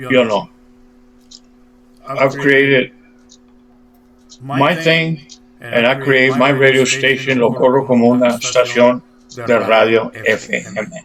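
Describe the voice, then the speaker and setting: A man at a medium pitch and a fairly slow pace, with fairly even intonation, very even loudness, long, frequent pauses and noticeable background noise. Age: 70s. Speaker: internet radio DJ. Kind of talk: interview. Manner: code-switching between English and Spanish.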